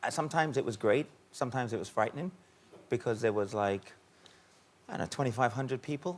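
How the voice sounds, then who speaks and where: With a British accent, a man talks at a fairly quick pace and medium pitch, using ordinary pitch variation and long, frequent pauses. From Caribbean. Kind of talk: TV talk show interview.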